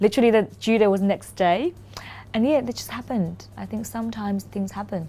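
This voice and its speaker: The woman's tone is dark and mellow. Ordinary pitch variation runs through her speech. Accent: Chinese. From China. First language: Mandarin. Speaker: corporate lawyer. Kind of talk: interview. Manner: hesitant, many fillers.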